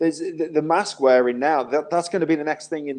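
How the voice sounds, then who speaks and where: Its pitch moves in a normal way in an unremarkable speaking voice. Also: man. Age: 40s. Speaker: caller. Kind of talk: casual chat.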